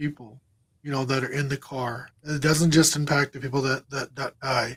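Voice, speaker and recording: This man has a fairly high pitch. His voice sounds somewhat breathy. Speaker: crash survivor and motivational speaker. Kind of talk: interview testimony. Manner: repetitive, filler-heavy.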